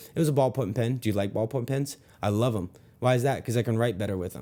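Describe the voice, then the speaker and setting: Mumbling at a very fast pace, a man speaks at medium pitch with a dark, mellow tone. His pitch varies in an ordinary way, and the recording is very clean with a silent background. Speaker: sales trainer. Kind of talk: sales tutorial with role-play.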